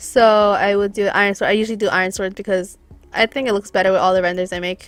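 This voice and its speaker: Speech races along at a very fast pace over music in the background, with a dry, close sound and no echo. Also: woman. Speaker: graphics designer, tutorial maker. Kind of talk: tutorial. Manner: casual, hesitant with fillers.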